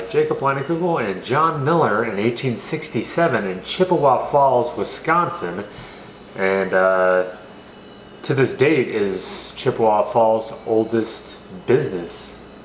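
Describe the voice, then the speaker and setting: Amid noticeable background noise and audible room echo, a man with an American accent and medium pitch talks at a fairly slow pace with lively intonation. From California. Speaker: beer reviewer. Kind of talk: casual chat. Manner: casual, filler-heavy.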